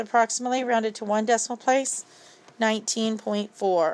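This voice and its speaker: A woman with a plain, everyday voice, fairly high in pitch, at a fairly quick pace with fairly even intonation. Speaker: math teacher. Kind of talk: tutorial.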